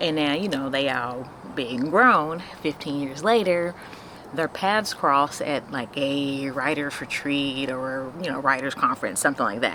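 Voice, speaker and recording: A woman with a very deep, low voice speaks at a moderate pace with ordinary pitch variation. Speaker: book vlogger. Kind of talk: casual chat.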